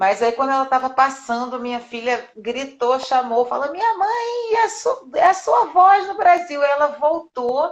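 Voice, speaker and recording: High in pitch, a woman speaks at a fairly slow pace with hardly any pauses. Her pitch swings very widely. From Rio de Janeiro, Brazil. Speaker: voice actress and dubbing director. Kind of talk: interview. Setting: live stream.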